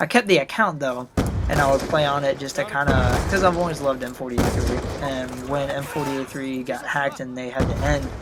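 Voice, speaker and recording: Clearly audible background noise accompanies fairly quick speech. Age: 20s. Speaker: gaming commentator. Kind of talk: gameplay commentary. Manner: casual, many fillers.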